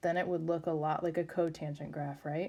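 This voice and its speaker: Her pitch is fairly low and her intonation monotone and flat as this woman speaks at a moderate pace. The recording is very clean, with a silent background. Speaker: math teacher. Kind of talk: tutorial.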